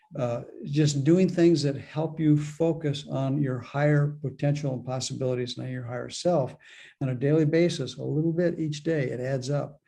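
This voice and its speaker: A man talks at a moderate pace with fairly even intonation. His tone is dark and mellow, and somewhat breathy. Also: fairly high pitch for a man. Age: 70s. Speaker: spiritual author and mentor. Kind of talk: interview. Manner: halting, frequent repetitions.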